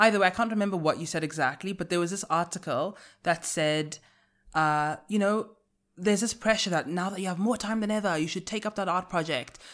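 On a very clean recording with a silent background, a woman with a plain, everyday voice talks at a fairly quick pace, medium in pitch with ordinary pitch variation. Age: 20s. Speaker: podcast host. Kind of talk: casual chat.

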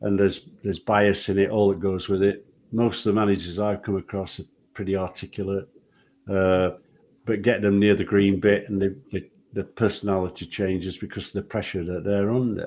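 A man with a Yorkshire accent, fairly low pitch and monotone, flat intonation at a fairly quick pace, on a very clean recording with a silent background. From Yorkshire, England. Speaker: retired football referee. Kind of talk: casual interview. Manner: halting, repeats words.

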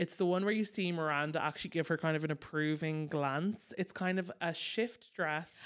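At a moderate pace with hardly any pauses, a woman in a plain, everyday voice speaks at a fairly low pitch, her intonation fairly even and her loudness very even. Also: very clean recording, silent background. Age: 30s. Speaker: podcast co-host, pop culture commentator. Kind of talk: casual chat.

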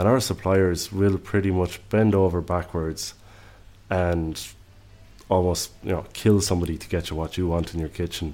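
Speaking at a moderate pace in an Irish accent, a man has a very deep, low pitch, a dark, mellow tone and fairly even intonation. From Ireland. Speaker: executive chef. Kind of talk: casual interview conversation.

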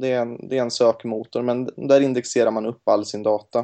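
A man speaks at a medium pitch. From Gothenburg, western Sweden. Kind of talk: casual interview. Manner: hesitant, many fillers.

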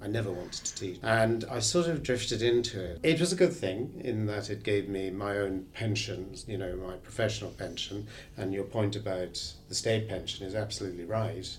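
A man speaks at a moderate pace in a fairly low, somewhat breathy voice with ordinary pitch variation. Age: 60s. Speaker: therapist. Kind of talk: casual chat.

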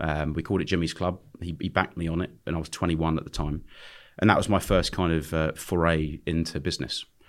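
A man with a London accent, very deep and low in pitch, very fast and flat in monotone, on a very clean recording with a silent background. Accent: southern English (London). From London, England. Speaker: restaurant and nightclub entrepreneur. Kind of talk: podcast interview. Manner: casual, hesitant with fillers.

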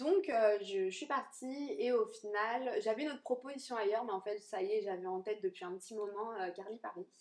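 A woman with a plain, everyday voice and a fairly high pitch talks at a fairly quick pace with ordinary pitch variation and hardly any pauses. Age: 20s. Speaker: hair colourist. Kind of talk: casual interview. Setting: sofa in a small cosy room.

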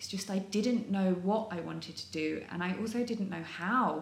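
Over noticeable background noise and audible room echo, a woman speaks at a moderate pace. Her intonation is fairly even. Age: 30s. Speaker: model and skincare trainer. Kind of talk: casual interview chat.

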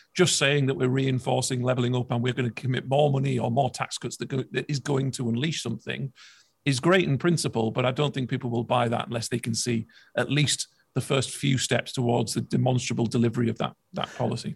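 A man talks very fast at a medium pitch, somewhat breathy and with fairly even intonation, in a dry, close sound with no echo. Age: 30s. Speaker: political commentator. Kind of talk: interview.

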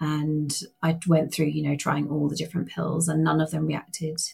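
A woman talks in a British accent with a very deep, low pitch. Her voice is somewhat breathy. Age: 40s. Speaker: patient advocate. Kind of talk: interview.

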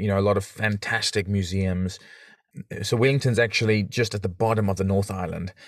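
A man with a South African accent, fairly low pitch, fairly even intonation and a fairly quick pace. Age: 30s. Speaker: podcaster and father. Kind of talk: casual interview. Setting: video call.

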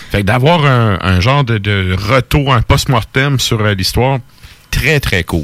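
A man speaks in a Quebec accent. Noticeable background noise is present. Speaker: radio host. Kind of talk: casual chat. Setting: studio.

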